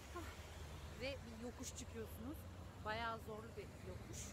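A woman talks at a moderate pace over loud background noise. The sound is dry, with no echo. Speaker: vlogger. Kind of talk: casual vlog chat. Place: street. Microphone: phone near.

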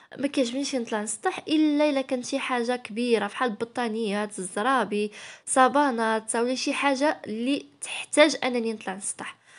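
Moderate pace, ordinary pitch variation and hardly any pauses against a quiet background. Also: woman, high pitch for a woman. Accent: Moroccan. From Morocco. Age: 20s. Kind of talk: casual vlog narration.

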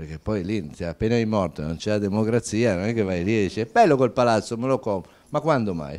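Hardly pausing, a man talks at a fairly quick pace and a fairly low pitch with lively intonation. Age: 60s. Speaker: fashion entrepreneur; company founder on a panel. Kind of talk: panel talk. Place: hall. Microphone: handheld.

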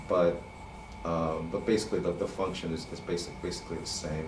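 Recorded with audible room echo and light background noise, a man talks at a fairly slow pace. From US, New York City. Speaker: animator and illustrator; drawing instructor. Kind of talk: drawing tutorial. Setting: online session. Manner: halting, many repeated words and fillers. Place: studio.

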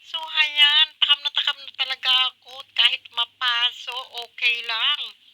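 Very slow and raised to a projected level, a woman's high-pitched voice has a bright, sharp tone, fairly even intonation and big swings in loudness, recorded with a dry, close sound and no echo. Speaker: cooking vlogger. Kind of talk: cooking tutorial. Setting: home kitchen. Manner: casual, chatty.

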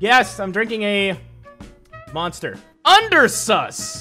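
A raised, projected voice comes through with faint music in the background. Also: man. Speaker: reaction streamer. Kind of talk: casual reaction commentary. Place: home room. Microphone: studio mic.

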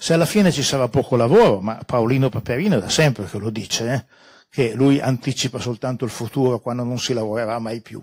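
Somewhat breathy and fairly quick, a man talks with ordinary pitch variation against a quiet background. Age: 70s. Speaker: scholar and speaker at a public talk; conference speaker. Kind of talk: public talk with slides; lecture. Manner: halting, many fillers. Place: meeting room. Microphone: handheld.

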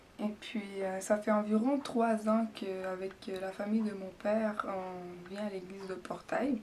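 In a Quebec accent, a woman talks at a very slow pace with fairly even intonation over light background noise. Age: 20s. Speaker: church member giving baptism testimony. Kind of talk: testimony. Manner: hesitant, with many fillers. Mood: earnest, calm, reflective. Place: empty room. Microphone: camera far.

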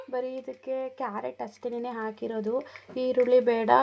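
A woman speaks with fairly even intonation. Noticeable background noise is present. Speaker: family vlogger. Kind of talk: vlog narration.

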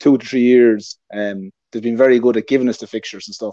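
A man speaks at a very fast pace with fairly even intonation against a quiet background. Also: dry sound with no echo. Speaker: remote guest. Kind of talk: interview answer. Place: home room. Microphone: earbuds.

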